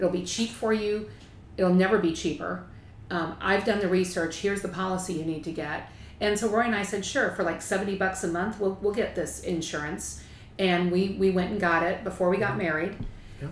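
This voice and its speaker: Noticeable background noise sits behind a woman speaking at medium pitch and a fairly quick pace. Her intonation stays fairly even. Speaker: attorney and spouse. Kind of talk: interview.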